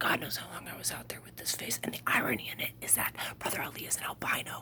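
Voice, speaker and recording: Whispering at a very fast pace, a woman speaks over noticeable background noise. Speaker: vlogger telling personal story. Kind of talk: casual personal storytelling. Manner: halting.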